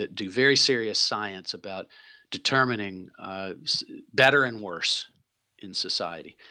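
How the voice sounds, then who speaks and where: A bright, sharp tone in an American accent, at a fairly slow pace with ordinary pitch variation. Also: man. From US South, Tennessee. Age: 60s. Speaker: impact investor and philanthropist. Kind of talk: interview conversation.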